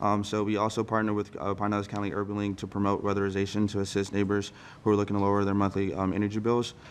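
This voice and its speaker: A man speaks at a very fast pace in a fairly low voice. His intonation stays flat and monotone. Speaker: congressional staff member. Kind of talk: public meeting presentation. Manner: halting.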